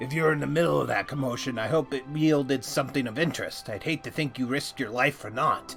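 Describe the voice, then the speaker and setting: Over clear music in the background, a man rattles off a put-on character voice at a very fast pace and a medium pitch. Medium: game stream. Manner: hearty, folksy, nautical idiom.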